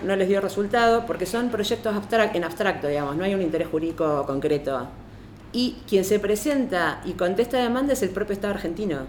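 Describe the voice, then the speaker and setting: Her intonation lively, a woman of medium pitch talks in an ordinary speaking voice. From Argentina. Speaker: lawyer and feminist activist. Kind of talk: panel talk.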